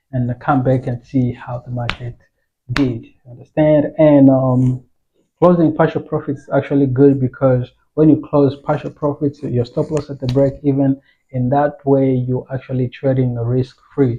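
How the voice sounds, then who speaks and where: The man's intonation is monotone and flat. His tone is dark and mellow, somewhat breathy. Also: moderate pace. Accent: non-native. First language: not English. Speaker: forex trading educator. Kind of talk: tutorial. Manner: casual, halting.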